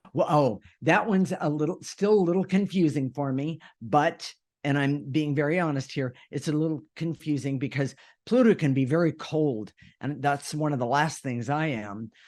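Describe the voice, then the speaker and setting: In a plain, everyday voice, a man speaks at a moderate pace with a fairly high pitch and ordinary pitch variation against a quiet background. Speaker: co-host of a spiritual self-help radio show. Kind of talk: casual conversational discussion. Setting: radio show.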